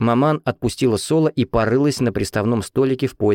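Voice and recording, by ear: With normal movement in pitch, a natural voice reads a text aloud.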